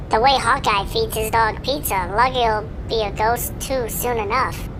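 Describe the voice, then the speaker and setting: Over loud background noise, a female-sounding voice performs a put-on character voice at a moderate pace. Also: fairly high pitch for a woman. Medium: audio drama. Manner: chirpy, teasing.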